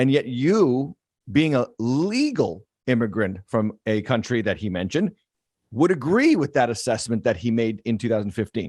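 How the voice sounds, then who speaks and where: With an American accent and an ordinary speaking voice, a man talks at a moderate pace and medium pitch, his intonation lively, the sound dry and close with no echo and the background quiet. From western Massachusetts. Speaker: pastor. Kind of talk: interview.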